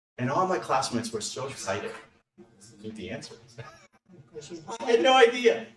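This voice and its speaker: A man's voice with big swings in loudness and long, frequent pauses, with audible room echo. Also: fairly quick pace. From Serbia (Belgrade). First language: Serbian. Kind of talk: personal anecdote in meeting.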